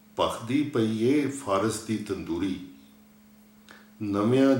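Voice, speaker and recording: A man talks with ordinary pitch variation at a fairly low pitch. It is a plain, everyday voice. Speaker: poet reading his own poem. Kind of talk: poetry reading.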